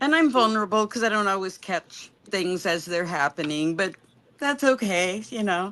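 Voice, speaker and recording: Moderate pace and lively intonation from a woman with a bright, sharp tone at a medium pitch. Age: 60s. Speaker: former church member. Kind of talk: casual chat.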